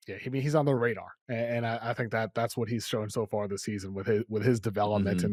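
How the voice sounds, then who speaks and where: This man talks very fast with a New England accent, his pitch medium and his intonation fairly even. The recording is very clean, with a silent background. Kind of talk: casual sports talk.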